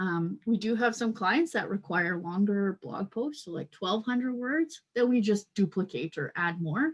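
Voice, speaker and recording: A woman speaks at a medium pitch and a fairly slow pace, her voice somewhat breathy, with very wide swings in pitch. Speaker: content marketing manager. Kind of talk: webinar product presentation.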